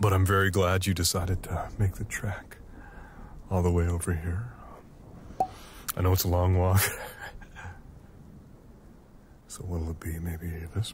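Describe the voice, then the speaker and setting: The pace is fairly slow. The sound is dry with no echo, over light background noise. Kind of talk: roleplay monologue to listener.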